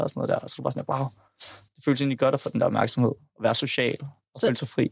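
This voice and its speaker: On a very clean recording with a silent background, the man rattles off his words at a very fast pace. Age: 20s. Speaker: podcast guest. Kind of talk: casual chat. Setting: studio. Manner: halting.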